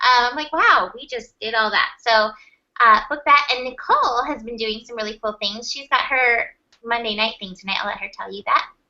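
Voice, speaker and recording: A woman talks at a high pitch with ordinary pitch variation and big swings in loudness. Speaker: tarot and astrology reader. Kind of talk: casual chat. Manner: fast.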